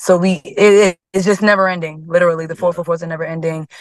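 Over a quiet background, a woman with an American accent and a fairly low pitch speaks in a plain, everyday voice with fairly even intonation, the sound dry with no echo. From Harlem, New York; New York. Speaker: singer; guest. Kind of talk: casual chat; interview answer. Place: car. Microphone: video call.

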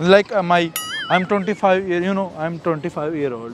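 Music plays behind a man with a high-pitched voice and ordinary pitch variation. The sound is dry, with no echo. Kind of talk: casual prank conversation. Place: beach. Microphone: lapel.

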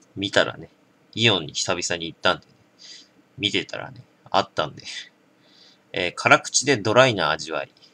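At a moderate pace, a man talks with a fairly low pitch. His tone is bright and sharp. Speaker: drinking vlogger. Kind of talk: casual product review chat. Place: home room. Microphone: camera far.

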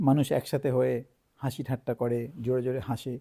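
This very clean recording with a silent background carries a man's medium-pitched voice with a dark, mellow tone. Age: 40s. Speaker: doctor. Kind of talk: health advice talk.

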